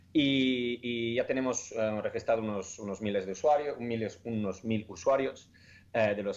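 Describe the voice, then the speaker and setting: A man with an Italian accent, at a moderate pace. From Italy. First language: Italian (speaking Spanish). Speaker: startup founder. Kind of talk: interview. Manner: halting, many fillers and repetitions.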